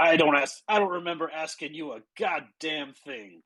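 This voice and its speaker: A gruff, growling put-on character voice at middle pitch moves at a moderate pace. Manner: gruff, growly.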